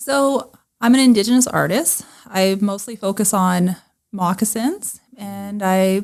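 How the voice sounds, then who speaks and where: A woman with a western Canadian accent talks at a fairly slow pace with ordinary pitch variation. The recording is very clean, with a silent background. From northern British Columbia, Canada. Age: 30s. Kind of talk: interview. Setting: podcast.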